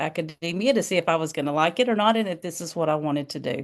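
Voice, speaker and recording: Against a quiet background, a woman with a Southern US accent talks at a fairly low pitch. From US South. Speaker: nursing professor and associate dean. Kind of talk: interview. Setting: video call. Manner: casual, conversational.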